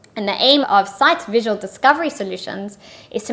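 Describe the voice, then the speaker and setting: A woman with a South African accent speaks at a fairly quick pace. Her pitch is fairly high, with ordinary pitch variation. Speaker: partnerships manager. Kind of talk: interview.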